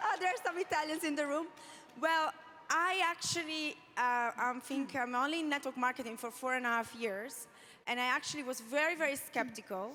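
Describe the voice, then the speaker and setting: A woman's high-pitched, raised and projected voice, bright and sharp in tone, with lively intonation and a fairly quick pace. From Italy. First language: Italian. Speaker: network marketing leader, panelist. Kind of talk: panel discussion testimony.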